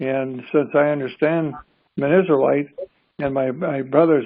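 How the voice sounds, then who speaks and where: Here a man is speaking. His pitch is fairly high. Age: 80s+. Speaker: minister. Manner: halting.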